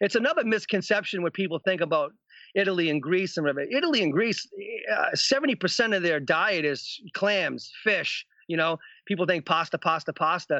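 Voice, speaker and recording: A man with a high voice talks at a fairly quick pace, with lively intonation and very even loudness. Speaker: TV fishing show host. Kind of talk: casual chat. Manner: animated.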